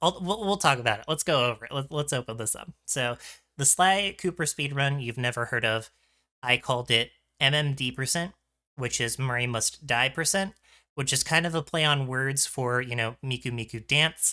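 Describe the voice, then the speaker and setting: A man's bright, sharp voice at medium pitch and moderate pace, with ordinary pitch variation, on a very clean recording with a silent background. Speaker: streamer and video essayist. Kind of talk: video essay commentary. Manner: casual with many fillers.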